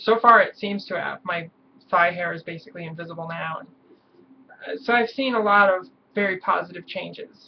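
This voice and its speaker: A woman at medium pitch talks at a fairly quick pace, her loudness swinging widely and her pitch varying in an ordinary way. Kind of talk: casual vlog talk to camera. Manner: hesitant, many fillers.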